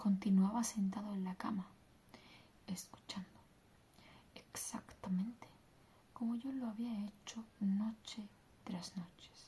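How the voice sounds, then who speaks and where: A woman speaks very slowly with long, frequent pauses and fairly even intonation. Her tone is dark, mellow, and somewhat breathy. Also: medium pitch for a woman. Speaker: ASMR content creator. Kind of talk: bedtime story reading, ASMR.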